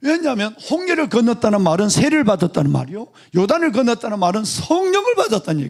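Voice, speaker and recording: A man talks at a very fast pace with hardly any pauses. His high voice swings very widely in pitch. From Gyeongsang region, South Korea. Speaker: pastor. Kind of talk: sermon.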